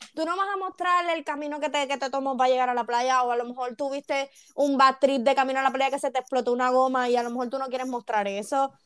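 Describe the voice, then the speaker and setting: A woman's high-pitched voice at a very fast pace, with hardly any pauses. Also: ordinary pitch variation. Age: 20s. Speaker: young mother. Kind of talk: casual chat.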